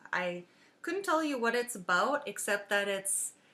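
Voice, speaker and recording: A woman with an Upper Midwest accent speaks at a fairly slow pace in a bright, sharp tone. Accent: Upper Midwest accent, long vowels. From US Upper Midwest. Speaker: podcaster. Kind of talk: casual chat. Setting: home dining room. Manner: halting, many fillers. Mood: relaxed, cheerful. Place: home room. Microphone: webcam.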